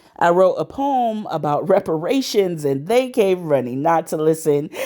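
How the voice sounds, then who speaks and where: At a moderate pace and a fairly low pitch, a woman speaks with very wide pitch swings over noticeable background noise. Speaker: spoken word poet. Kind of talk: spoken word poetry performance.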